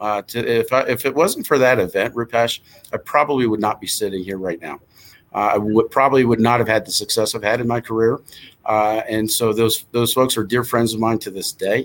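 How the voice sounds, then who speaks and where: A man's unremarkable speaking voice in an American accent, medium-pitched and fairly quick, with fairly even intonation. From New Jersey. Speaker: hotel association executive. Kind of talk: interview.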